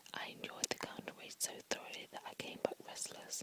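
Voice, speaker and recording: The voice is a whisper, moving at a moderate pace. Background noise is noticeable throughout. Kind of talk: whispered book reading for relaxation. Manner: whispered, soft.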